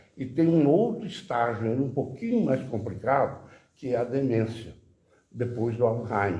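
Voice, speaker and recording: Lively in intonation yet fairly slow in pace, the voice has a dark, mellow tone, is somewhat breathy, and carries audible room echo. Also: man. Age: 80s+. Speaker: audience member asking questions. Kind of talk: Q&A discussion.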